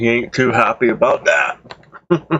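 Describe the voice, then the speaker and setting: A man's medium-pitched voice at a fairly slow pace. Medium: game stream.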